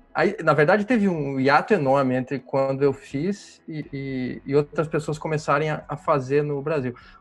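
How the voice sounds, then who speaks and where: This man's fairly high pitch shows ordinary pitch variation as he talks at a moderate pace with hardly any pauses. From Brazil, interior of Paraná. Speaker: amateur cyclist. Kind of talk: casual chat. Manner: halting, many repetitions.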